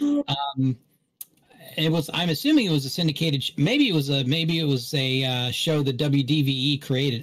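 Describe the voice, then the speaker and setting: A man with an American accent speaks at a fairly high pitch, with ordinary pitch variation and a somewhat breathy quality. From West Virginia and Augusta, US South. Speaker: podcast panelist. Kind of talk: casual chat. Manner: halting, many fillers.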